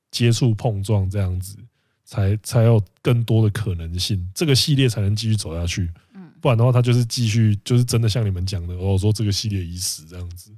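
A man speaks at a fairly quick pace with a dark, mellow tone, a fairly low pitch and ordinary pitch variation, sounding somewhat breathy. His loudness swings widely, and the recording is very clean with a silent background. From Penghu, Taiwan. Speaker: podcast co-host. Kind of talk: casual chat.

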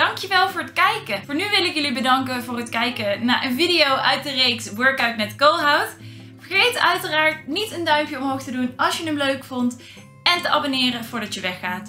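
A woman speaks in a raised, projected voice amid audible room echo, with faint music in the background. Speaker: vlogger. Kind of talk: casual vlog chat. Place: home room.

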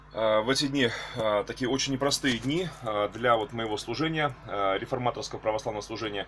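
The speech runs at a fairly quick pace with ordinary pitch variation. Long, frequent pauses break it up over light background noise. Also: man, medium pitch for a man. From Russia, Tula. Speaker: archbishop, clergyman. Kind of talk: video address to followers. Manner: halting, with fillers. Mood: earnest, preacher-like fervor. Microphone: webcam.

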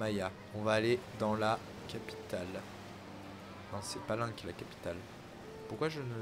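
Over noticeable background noise, a man with a fairly low voice speaks at a moderate pace and leaves long, frequent pauses. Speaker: gaming YouTuber. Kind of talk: casual let's play commentary. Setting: online voice chat. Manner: animated.

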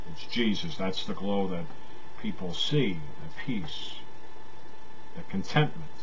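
Light background noise sits under a man's fairly low voice. He speaks fairly slowly with ordinary pitch variation. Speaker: preacher. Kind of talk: sermon. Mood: calm, earnest. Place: home room. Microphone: webcam.

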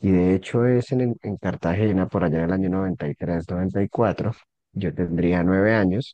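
A man speaks at a very slow pace in a very deep, low pitch with a dark, mellow tone and ordinary pitch variation. The sound is dry with no echo, and the background is quiet. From Colombia, Santander (Bucaramanga), moved around; Santander, Colombia. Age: 40s. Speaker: rock musician and lawyer; lawyer. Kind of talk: interview. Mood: calm, relaxed. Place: home room. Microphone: video call.

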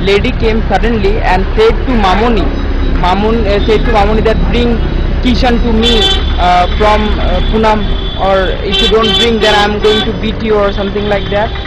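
This man talks at a moderate pace, his voice a dry sound with no echo amid loud background noise. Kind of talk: casual vlog chat. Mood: concerned, earnest. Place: street. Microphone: phone near.

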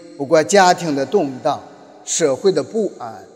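A man with a fairly high voice talks fairly slowly, his pitch swinging very widely, against noticeable background noise. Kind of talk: sermon. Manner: halting.

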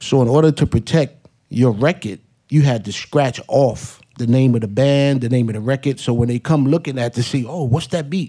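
A man with a New York accent speaks with hardly any pauses and ordinary pitch variation. His tone is dark and mellow, over a quiet background. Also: moderate pace. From New York, Hollis, Queens. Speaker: hip hop DJ and producer; hip hop DJ. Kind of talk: panel talk. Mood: relaxed, reminiscing. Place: hall. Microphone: podium.

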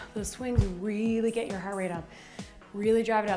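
Over clear background music, a woman talks at a fairly quick pace. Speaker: fitness instructor. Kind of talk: workout instruction. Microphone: lapel.

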